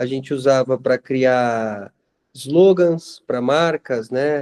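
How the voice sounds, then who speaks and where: In a dry, close sound with no echo, a man speaks at a medium pitch with fairly even intonation. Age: 40s. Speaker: school monitor, former IT worker. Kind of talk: casual group chat. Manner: hesitant, repeats words.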